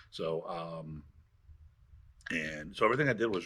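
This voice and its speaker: With a bright, sharp tone and lively intonation, a man speaks at a very deep, low pitch. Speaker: martial arts instructor. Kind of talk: interview.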